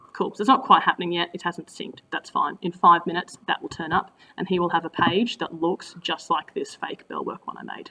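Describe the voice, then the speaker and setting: A woman with an Australian accent speaks at a fairly quick pace with hardly any pauses, her fairly low voice showing ordinary pitch variation and big swings in loudness. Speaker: teacher. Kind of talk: tutorial. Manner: fast; casual.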